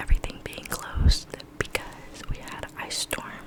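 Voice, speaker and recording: A woman whispers at a moderate pace amid noticeable background noise. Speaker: ASMR creator. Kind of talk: casual talk to camera. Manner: whispered.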